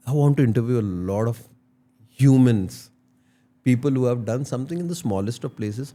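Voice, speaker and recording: A man speaks at a fairly quick pace with a dark, mellow tone, medium pitch, ordinary pitch variation, and long, frequent pauses. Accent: Indian. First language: Tulu. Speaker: entrepreneur and podcaster. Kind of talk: interview, Hindi-English code-switching.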